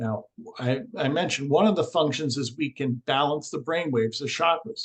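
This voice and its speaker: With a normal speaking voice, a man talks at a moderate pace and a fairly high pitch. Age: 60s. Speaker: alternative energy healer. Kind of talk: interview.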